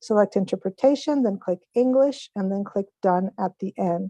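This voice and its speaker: The tone is dark and mellow. The sound is dry and close, with no echo. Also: woman. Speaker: interpreter. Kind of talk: event instructions. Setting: video call. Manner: fast.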